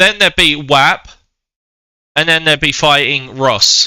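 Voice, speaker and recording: A man's bright, sharp voice with a British accent. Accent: UK. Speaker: game commentator. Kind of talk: live commentary; casual chat. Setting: live stream. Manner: hesitant.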